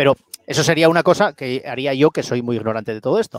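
A man speaks at a very fast pace with a medium pitch and ordinary pitch variation, recorded dry and close with no echo. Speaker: podcast host. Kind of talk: casual interview. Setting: online live stream.

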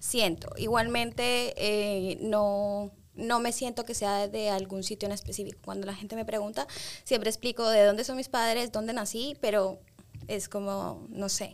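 A woman with a fairly high pitch talks at a fairly slow pace in an ordinary speaking voice with fairly even intonation, recorded very cleanly against a silent background. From Spain and London, Ecuadorian parents. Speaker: manager. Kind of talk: casual chat.

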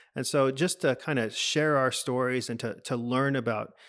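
A man with a Texan accent and fairly even intonation. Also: very clean recording, silent background. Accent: Texan American English. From Texas, Dallas. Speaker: pastor and lecturer. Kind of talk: interview.

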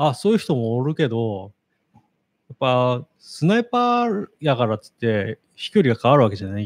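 A man's normal speaking voice at medium pitch and moderate pace, with lively intonation, big swings in loudness, and a dry, close sound with no echo. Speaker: podcast co-host. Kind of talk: casual chat.

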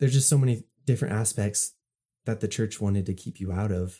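The voice is somewhat breathy, with a dark, mellow tone and ordinary pitch variation. It moves at a fairly quick pace. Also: man. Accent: American. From Utah, USA. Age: 20s. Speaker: artist and photographer. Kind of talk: casual chat. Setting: remote call. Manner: relaxed.

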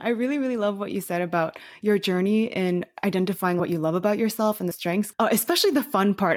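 In a very clean recording with a silent background, a woman talks at a very fast pace. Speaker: podcast host. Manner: fast talker.

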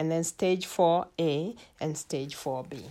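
A woman talks at a very slow pace with ordinary pitch variation, on a very clean recording with a silent background. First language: not English. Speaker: health educator podcaster. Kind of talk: solo health talk. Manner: hesitant with many fillers.

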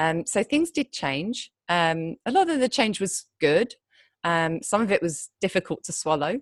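With a British accent, a woman speaks at a fairly slow pace and medium pitch, her voice swinging very widely in pitch, in a dry, close recording with no echo over a quiet background. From Britain. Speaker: copywriter. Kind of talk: interview conversation. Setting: remote call from Thailand. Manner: hesitant, many fillers.

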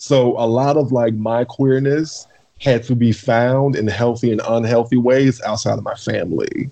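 A man with a normal speaking voice keeps a medium pitch, a moderate pace and fairly even intonation. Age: 30s. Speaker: podcast guest. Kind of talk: casual chat.

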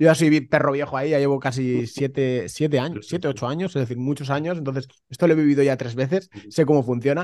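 Speaking at a very fast pace, a man leaves hardly any pauses. His pitch is fairly high and his intonation fairly even. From Spain, Valencia. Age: 30s. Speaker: real estate investor. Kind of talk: casual interview. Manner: halting, repeats words.

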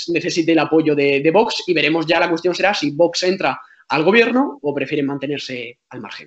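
A man speaks at a moderate pace. He has a normal speaking voice. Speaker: journalist. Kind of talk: casual chat.

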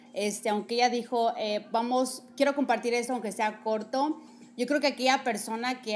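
A plain, everyday voice, moderately paced, its pitch varying in an ordinary way. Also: woman. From Mexico. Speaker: podcast host. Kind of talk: casual chat. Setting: recorded at guest's home, also live on TikTok.

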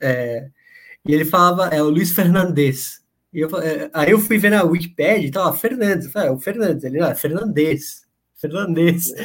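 Pitch variation is ordinary. The speaking pace is moderate. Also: man, high pitch for a man. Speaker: podcast host. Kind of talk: casual chat. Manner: halting.

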